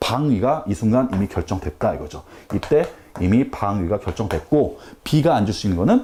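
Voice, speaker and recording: A man speaks in a dark, mellow tone. Vocal fry runs through his voice. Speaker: math tutor. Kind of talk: lecture. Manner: fast.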